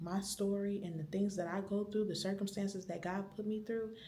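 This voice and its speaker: Whispering and somewhat breathy, a woman speaks amid audible room echo. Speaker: vlogger. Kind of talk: vlog monologue. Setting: library.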